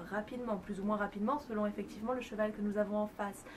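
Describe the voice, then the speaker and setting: Over noticeable background noise, a woman speaks very fast with fairly even intonation. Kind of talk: educational talk to camera about animal communication. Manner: whispered, soft.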